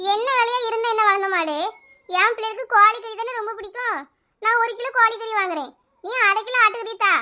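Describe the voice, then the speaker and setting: A woman puts on a cartoonish character voice with an extremely high pitch. She talks at a moderate pace. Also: ordinary pitch variation. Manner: argumentative, stubborn.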